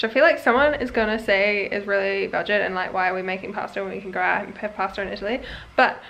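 Talking at a very fast pace, a woman uses vocal fry with a bright, sharp tone. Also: ordinary pitch variation. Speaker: travel vlogger. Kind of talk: casual vlog chat. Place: home room. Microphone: phone near.

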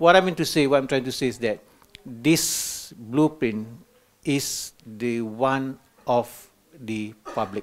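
At a very slow pace, a man speaks with ordinary pitch variation. Long pauses come often. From Malaysia. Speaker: education official, institute director; conference presenter. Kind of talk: conference presentation; lecture presentation. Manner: halting, many filler words. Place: hall.

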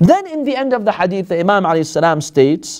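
A man's fairly slow speech with very wide pitch swings, set against a quiet background. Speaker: religious teacher. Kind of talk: lecture. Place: classroom. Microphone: lapel.

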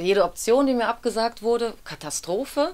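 This woman's voice sits at a fairly high pitch. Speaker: actress, audiobook narrator and dubbing voice actor. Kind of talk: interview answer. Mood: relaxed, smiling. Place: studio.

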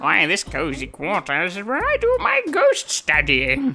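This put-on character voice sits at a fairly high pitch and moves at a moderate pace. Faint music plays in the background. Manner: pompous, theatrical.

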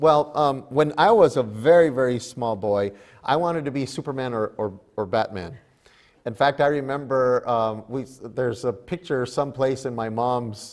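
A man talks with ordinary pitch variation at a moderate pace. The background is quiet. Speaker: pastor. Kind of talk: sermon. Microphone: lapel.

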